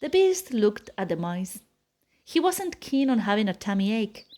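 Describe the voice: A woman's medium-pitched voice, slightly mellow in tone, with big pitch swings and a fairly slow pace.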